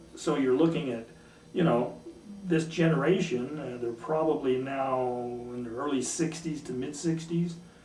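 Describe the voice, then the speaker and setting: With noticeable background noise and audible room echo, a man talks at a fairly high pitch. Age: 60s. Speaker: war veteran. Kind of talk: interview testimony. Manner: halting.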